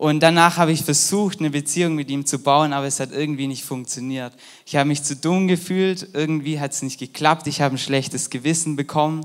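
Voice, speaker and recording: In a very clean recording with a silent background, a man with a fairly high pitch uses a normal speaking voice at a fairly quick pace with fairly even intonation. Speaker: volunteer youth preacher. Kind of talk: sermon.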